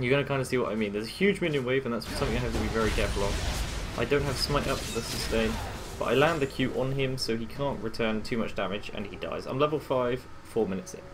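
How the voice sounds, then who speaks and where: Over noticeable background noise and audible room echo, a man speaks at a very fast pace and medium pitch with ordinary pitch variation. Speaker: gaming coach. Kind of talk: gameplay commentary. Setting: home recording late at night. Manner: quiet.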